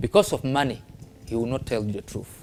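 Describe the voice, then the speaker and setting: A man with a northern Ghanaian accent talks over music in the background. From northern Ghana (Tamale). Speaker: traditional spiritualist. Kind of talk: interview. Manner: halting non-fluent English.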